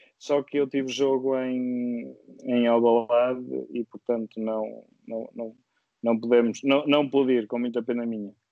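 A man speaks fairly slowly at a medium pitch. His intonation is monotone and flat. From Viseu, central Portugal. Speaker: guest, sim racing driver. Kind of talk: casual interview. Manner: hesitant, repeats words.

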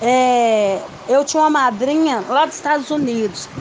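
The voice shows ordinary pitch variation while noticeable background noise carries on behind it. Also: woman. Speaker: daughter of the guest. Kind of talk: casual recounting.

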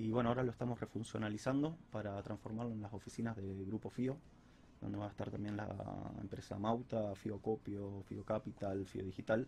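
Somewhat breathy, a man speaks in a dark, mellow tone at a fairly low pitch, with fairly even intonation and a moderate pace. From Rosario, Argentina. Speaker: architect. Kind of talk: interview.

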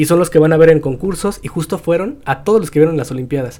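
Very fast speech from a man with a dark, mellow tone and ordinary pitch variation. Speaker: podcast host. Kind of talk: casual chat.

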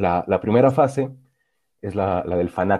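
This man talks at a moderate pace in a fairly low pitch, his tone dark and mellow, with ordinary pitch variation. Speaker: podcast co-host. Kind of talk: casual chat. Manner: halting, repeats words.

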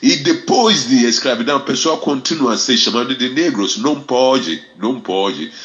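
A man speaks fairly slowly, with pitch that varies in an ordinary way. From Ghana. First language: Fante / English (speaking Portuguese). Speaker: reggae ambassador and music teacher. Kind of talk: radio interview. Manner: halting.

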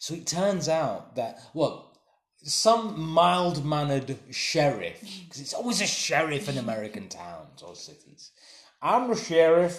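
A man with an English accent, fairly high pitch, lively intonation and a fairly slow pace, plus big swings in loudness and audible room echo. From England. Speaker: podcast co-host. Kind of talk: casual chat.

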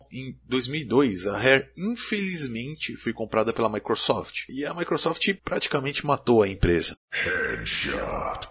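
Speaking at a fairly slow pace with hardly any pauses, a man swings very widely in pitch. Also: medium pitch for a man. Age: 30s. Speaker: gaming video host. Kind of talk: scripted narration.

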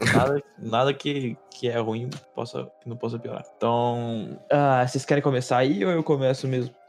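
A man's medium-pitched voice at a fairly slow pace with hardly any pauses, over noticeable background noise. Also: ordinary pitch variation. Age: 20s. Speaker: podcast host. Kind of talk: casual chat.

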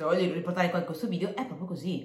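An animated woman's fairly low voice in audible room echo. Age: 20s. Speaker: motivational podcaster. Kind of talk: motivational monologue.

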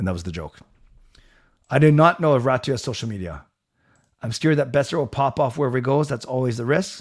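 A man's medium-pitched voice with a Canadian accent, very fast pace and lively intonation, broken by long, frequent pauses, in a very clean recording with a silent background. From Canada, Vancouver area. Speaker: sports commentator. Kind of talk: live-stream commentary. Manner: fast talker; enthusiastic.

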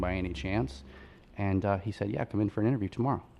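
With an American accent, a man speaks at a fairly low pitch with vocal fry. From Long Island, New York. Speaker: furniture maker and business owner. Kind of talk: interview. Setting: radio studio.

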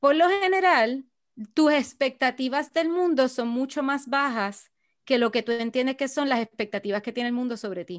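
A woman's high voice at a moderate pace, with lively intonation, against a quiet background. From Puerto Rico. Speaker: archaeologist. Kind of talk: interview conversation.

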